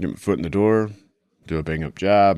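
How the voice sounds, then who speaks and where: A man with an American accent has a very deep, low voice. He talks at a moderate pace with ordinary pitch variation. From Utah. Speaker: police detective. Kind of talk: interview recollection.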